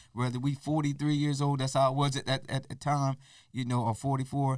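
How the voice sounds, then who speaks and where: The recording is very clean with a silent background as a man speaks at a medium pitch. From Eastern Shore of Maryland, US. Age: 50s. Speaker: DJ. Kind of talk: podcast interview.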